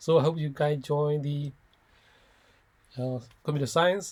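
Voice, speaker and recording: On a very clean recording with a silent background, a man speaks somewhat breathily at a fairly slow pace, with a fairly high pitch and fairly even intonation. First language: not English (English is third language). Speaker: software developer. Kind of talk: informal talk to students. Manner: halting with frequent fillers and restarts.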